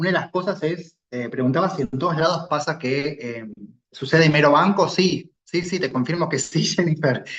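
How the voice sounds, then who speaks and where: In a Rioplatense accent, a man speaks at a moderate pace with a fairly high pitch. His voice is somewhat breathy, with ordinary pitch variation. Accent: Argentine Rioplatense Spanish. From Argentina. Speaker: clinical pharmacist expert. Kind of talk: expert feedback in online medical session.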